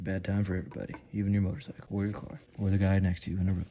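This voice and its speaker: Mumbling at a very fast pace, a man speaks through noticeable background noise. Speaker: home mechanic. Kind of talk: tutorial. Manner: casual.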